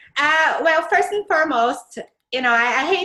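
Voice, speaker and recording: A woman with a Brazilian accent talks at a moderate pace in a bright, sharp tone, her pitch swinging very widely. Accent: Brazilian Portuguese accent, lasting. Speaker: Pinterest strategist. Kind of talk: interview.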